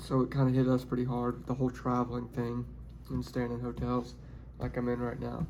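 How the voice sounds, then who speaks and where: Someone with a Tennessee accent talks at a fairly quick pace. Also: man. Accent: Southern US (Tennessee). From Tennessee, Nashville area. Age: 20s. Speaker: pipeline x-ray worker and new YouTuber. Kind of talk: casual vlog monologue. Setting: hotel room. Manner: halting, with repeated words.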